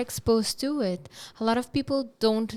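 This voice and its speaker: A woman with an Aruban accent speaks at a moderate pace and a fairly high pitch, with ordinary pitch variation. The recording is very clean, the background silent. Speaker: podcast host. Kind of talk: interview conversation. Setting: podcast studio.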